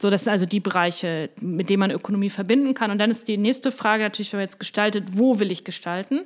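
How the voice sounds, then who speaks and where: Talking at a very fast pace with hardly any pauses, a woman uses a medium pitch and ordinary pitch variation. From Hamburg, northern Germany. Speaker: university president and professor. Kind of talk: interview. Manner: hesitant, many fillers.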